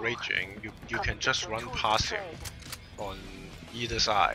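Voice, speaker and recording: With music in the background, a man talks in a non-native accent. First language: not English. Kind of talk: gameplay commentary guide. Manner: unscripted, hesitant.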